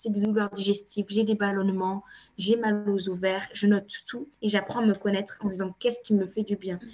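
Speaking at a fairly quick pace, a woman has a medium pitch and a somewhat breathy voice. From France, Cape Verdean family. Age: 20s. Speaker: endometriosis patient advocate. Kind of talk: interview testimony.

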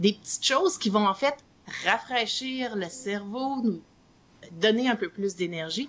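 Long, frequent pauses from a woman with a Quebec accent, fairly high pitch, lively intonation and a fairly slow pace. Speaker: psychologist and author. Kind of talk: interview.

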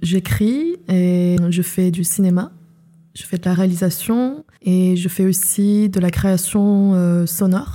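The voice is somewhat breathy with a dark, mellow tone, moving at a very slow pace with fairly even intonation. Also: woman, medium pitch for a woman. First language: not French (speaking French). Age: 20s. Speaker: filmmaker and writer. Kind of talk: personal testimony. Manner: hesitant, many fillers.

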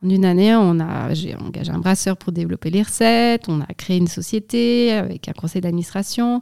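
A woman's dark, mellow voice at a moderate pace, with ordinary pitch variation, hardly any pauses and a dry, close sound with no echo. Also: medium pitch for a woman. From Switzerland, Valais (Sierre). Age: 30s. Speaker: brewery director. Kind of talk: interview.

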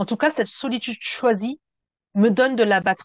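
Her fairly high pitch and ordinary pitch variation come through as a woman talks in an energetic tone at a moderate pace. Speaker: therapist and podcast host. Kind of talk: reading a script. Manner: energetic delivery.

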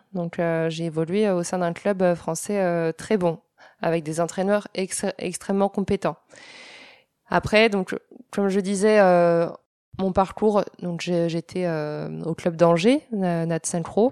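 Very slow speech with long, frequent pauses and fairly even intonation comes through dry and close with no echo, over a quiet background. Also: woman, fairly low pitch for a woman. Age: 20s. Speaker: former Olympic synchronized swimmer, sports shop salesperson. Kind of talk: interview. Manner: hesitant, many fillers.

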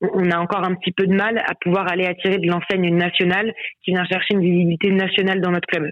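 Monotone, flat intonation from a woman talking at a very fast pace. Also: medium pitch for a woman, very even loudness. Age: 20s. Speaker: sales manager at a handball club. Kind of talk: interview. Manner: hesitant, many fillers.

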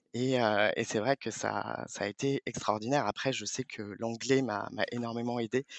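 Monotone, flat intonation with hardly any pauses. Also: man, medium pitch for a man, moderate pace. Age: 30s. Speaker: payroll manager. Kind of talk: interview. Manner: halting.

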